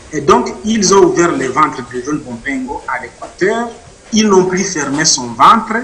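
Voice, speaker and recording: A man's high-pitched voice with very wide pitch swings at a fairly slow pace, with audible room echo and noticeable background noise. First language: Mashi (speaking French). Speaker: author and witness. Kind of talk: interview testimony.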